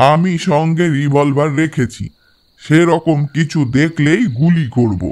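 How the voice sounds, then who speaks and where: A man performs in a put-on character voice. His pitch is fairly high and his pace fairly slow. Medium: audio drama.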